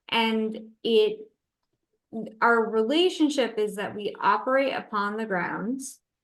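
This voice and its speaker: With ordinary pitch variation, a woman speaks at a very slow pace in a fairly high voice. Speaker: natural cemetery operator presenting a case study. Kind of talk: webinar Q&A answers. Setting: online webinar.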